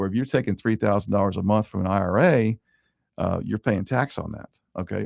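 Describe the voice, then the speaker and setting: A man's very fast speech with vocal fry, in a dry, close sound with no echo. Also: very clean recording, silent background. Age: 60s. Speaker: mortgage lender and show host. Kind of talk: radio-style talk show monologue. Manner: conversational with frequent fillers and repetitions.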